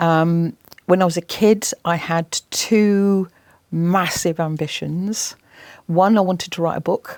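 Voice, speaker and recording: In an English accent, a woman with a fairly low voice speaks very slowly, the sound dry and close with no echo. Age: 60s. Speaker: environmental campaigner and TV presenter. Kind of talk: interview. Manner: animated.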